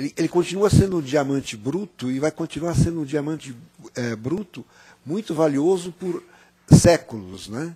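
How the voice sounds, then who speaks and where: A man with a fairly high pitch speaks in a dark, mellow tone that is somewhat breathy. His pitch variation is ordinary, and the sound is dry and close with no echo. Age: 60s. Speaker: panel guest. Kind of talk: panel talk. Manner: halting, many fillers.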